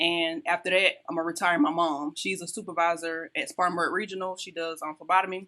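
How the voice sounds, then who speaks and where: Over a quiet background, a woman with a South Carolina accent speaks at a very fast pace with hardly any pauses, using a fairly low pitch, a bright, sharp tone and monotone, flat intonation. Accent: Southern US (South Carolina). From US South, South Carolina. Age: 30s. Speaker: entrepreneur and lifestyle coach. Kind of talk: podcast interview.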